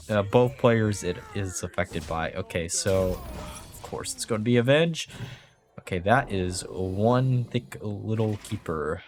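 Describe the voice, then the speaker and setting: The speech moves at a fairly slow pace with big swings in loudness while music plays in the background. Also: man, fairly low pitch for a man, ordinary pitch variation. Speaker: video game streamer. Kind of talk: gameplay commentary.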